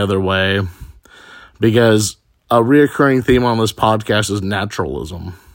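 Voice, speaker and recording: Here a man speaks in a fairly low pitch with ordinary pitch variation. The recording is very clean, the background silent. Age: 30s. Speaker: podcaster. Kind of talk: personal monologue.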